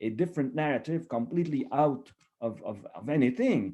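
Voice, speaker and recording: A man with vocal fry at a moderate pace. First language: French. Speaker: history professor. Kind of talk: seminar discussion. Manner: halting, many repetitions.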